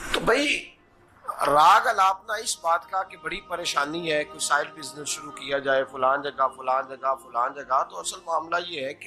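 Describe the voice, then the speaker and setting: A man speaks at a fairly high pitch with ordinary pitch variation. Music plays in the background. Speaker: Islamic scholar and preacher. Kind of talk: Islamic sermon (bayan).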